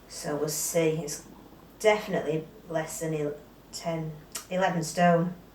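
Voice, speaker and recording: At a fairly slow pace with long, frequent pauses, a woman with a fairly low pitch speaks in a monotone, flat intonation, amid audible room echo and noticeable background noise. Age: 50s. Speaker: weight loss vlogger. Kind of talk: casual vlog.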